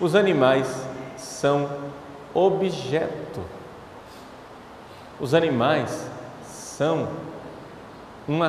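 With audible room echo and light background noise, a man speaks with ordinary pitch variation and long, frequent pauses. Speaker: priest giving a talk. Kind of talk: sermon. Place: church. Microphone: handheld.

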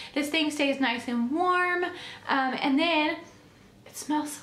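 A woman speaks in a high pitch. Noticeable noise sits in the background. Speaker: lifestyle YouTuber, mother. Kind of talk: product haul video.

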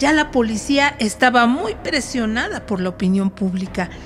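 Against noticeable background noise, a woman speaks at a moderate pace. Her fairly high voice has lively intonation. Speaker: radio drama narrator. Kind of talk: horror story narration for radio.

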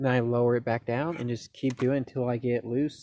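The speech moves at a moderate pace, with a dry sound with no echo. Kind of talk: tutorial. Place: open country. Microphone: phone near.

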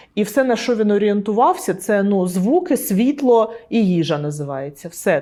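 Here a woman has a normal speaking voice at medium pitch. Her pace is moderate. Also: big swings in loudness. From Donetsk, Ukraine. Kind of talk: interview answer. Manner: casual, conversational.

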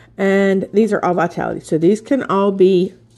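Fairly slow woman's speech in a medium pitch and a dark, mellow tone. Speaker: essential oil seller and vlogger. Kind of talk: product unboxing video. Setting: home video recording. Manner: casual, many fillers.

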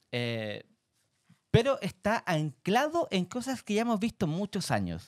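Against a quiet background, a man with a Chilean accent speaks at a high pitch with very wide pitch swings, the sound dry with no echo. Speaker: podcast co-host. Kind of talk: casual chat. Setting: studio. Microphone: studio mic.

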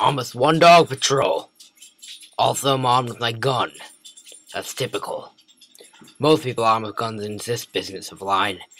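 Put-on character voice from a man with a British accent, medium in pitch, at a moderate pace. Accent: imitated British. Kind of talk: comedic gameplay commentary in character. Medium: role play.

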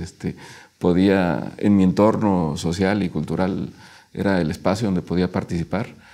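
In a Mexico City accent, a man speaks very deep and low with a dark, mellow tone and fairly even intonation against a quiet background. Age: 40s. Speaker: local councillor. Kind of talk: interview. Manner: halting, many fillers. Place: studio. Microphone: lapel.

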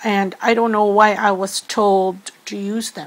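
A woman speaks with a Filipino accent. Her pitch is medium. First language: Filipino language. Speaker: tarot reader. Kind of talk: spiritual tarot reading. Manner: hesitant with many fillers.

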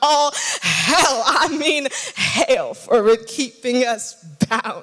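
This woman has a high-pitched voice. She speaks at a very slow pace with ordinary pitch variation. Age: young. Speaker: spoken word artist. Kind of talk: spoken word poetry performance. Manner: powerful, compelling. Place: church. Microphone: handheld.

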